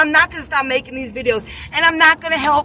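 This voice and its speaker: Over noticeable background noise, a woman speaks in a raised, projected voice with an animated tone. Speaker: religious vlogger. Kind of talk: religious monologue vlog. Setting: in a car.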